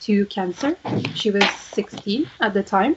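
A woman with a French accent speaks at a medium pitch with ordinary pitch variation. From Quebec. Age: 20s. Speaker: podcast co-host. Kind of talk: casual chat.

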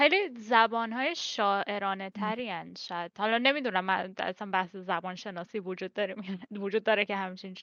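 A woman with medium pitch and a bright, sharp tone speaks at a moderate pace with ordinary pitch variation. The sound is dry and close with no echo, over a quiet background. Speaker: podcast guest. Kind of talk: casual chat.

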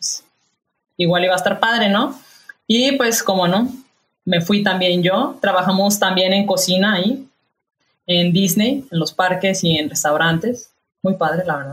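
Her pitch medium and its variation ordinary, a woman talks at a fairly slow pace with long, frequent pauses. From Mexico, Guadalajara (Jalisco). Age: 30s. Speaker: chef. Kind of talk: casual chat. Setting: video call.

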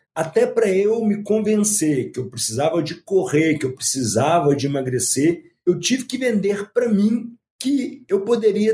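Dark and mellow in tone, a man's high voice swings very widely in pitch. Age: 50s. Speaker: ultramarathon runner and motivational speaker. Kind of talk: interview.

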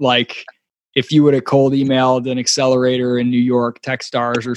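Recorded with a dry, close sound and no echo, a man with an American accent talks at a fairly quick pace in a medium pitch. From US Midwest, Michigan. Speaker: podcast host. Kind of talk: interview.

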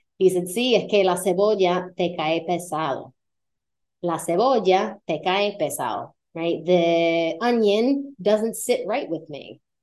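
A woman talks at a fairly slow pace with a medium pitch and ordinary pitch variation. It is an unremarkable speaking voice. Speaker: Spanish teacher. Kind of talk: language lesson.

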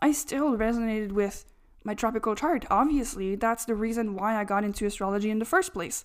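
This woman has a fairly high pitch and ordinary pitch variation. She speaks at a fairly quick pace on a very clean recording with a silent background. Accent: French. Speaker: astrologer podcaster. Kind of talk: monologue podcast talk.

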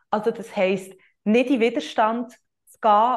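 A woman's voice with fairly even intonation. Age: 20s. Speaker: yoga teacher and coach, podcast host. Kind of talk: solo podcast monologue, explanatory. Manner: hesitant, many filler sounds.

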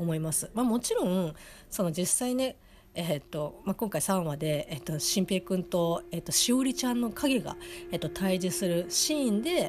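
A woman talks with a somewhat breathy voice at a medium pitch. Her pace is moderate. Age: 30s. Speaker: anime review podcaster. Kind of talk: solo casual review monologue. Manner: halting, many fillers.

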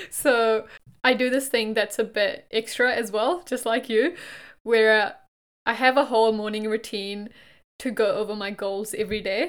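A woman's fairly high voice comes through in a very clean recording with a silent background. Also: ordinary pitch variation, moderate pace. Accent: non-native. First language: not English. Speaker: podcast co-host, graduate employee. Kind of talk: casual chat.

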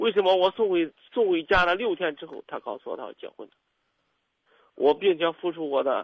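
The intonation here is lively. It belongs to a man with a high voice. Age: 30s. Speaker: caller, small business owner. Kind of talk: call-in confession. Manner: halting, repetitive.

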